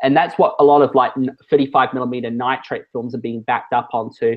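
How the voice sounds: At a fairly quick pace, a man speaks in a medium pitch with fairly even intonation.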